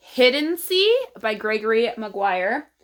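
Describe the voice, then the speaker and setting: On a very clean recording with a silent background, a woman with a fairly high pitch speaks with lively intonation in a Texas accent. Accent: Texas accent, long vowels. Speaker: book vlogger. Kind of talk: casual vlog talk.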